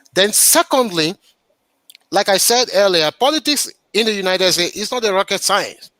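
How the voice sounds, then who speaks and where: With a Nigerian accent, a man with a high pitch and a bright, sharp tone uses a raised, projected voice and lively intonation at a moderate pace, in a dry, close sound with no echo. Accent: Nigerian, noticeable. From Nigeria, Yoruba southwest (Ibadan). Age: 50s. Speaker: local politician, public official. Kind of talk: interview.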